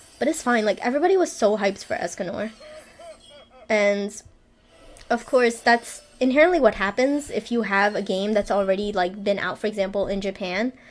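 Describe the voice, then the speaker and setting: A woman speaks at a fairly quick pace with lively intonation and a fairly high pitch. Music plays in the background. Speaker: gaming YouTuber. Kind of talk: casual gameplay commentary. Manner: stuttering, hesitant with fillers; nervous rambling.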